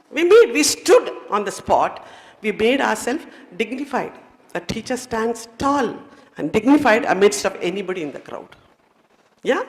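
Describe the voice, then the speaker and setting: A woman's fairly high voice in a Tamil Indian accent, lively in intonation, at a moderate pace, with big swings in loudness and long, frequent pauses. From India, Nilgiri Hills, Tamil Nadu. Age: 60s. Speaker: retired educator, chief guest speaker. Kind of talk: motivational speech. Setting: stage with audience. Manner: animated.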